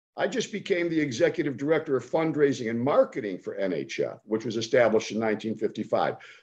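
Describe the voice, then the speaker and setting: Against a quiet background, a man with a fairly high pitch talks at a very fast pace with lively intonation. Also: hardly any pauses. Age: 70s. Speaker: foundation executive and fundraiser. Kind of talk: casual interview chat. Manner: animated, enthusiastic.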